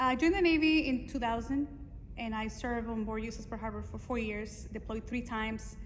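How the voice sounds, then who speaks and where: Someone speaks at a very fast pace with a Spanish accent. Audible room echo is present. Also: woman. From Mexico. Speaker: Navy veteran and fashion designer. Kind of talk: interview. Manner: casual, with many fillers.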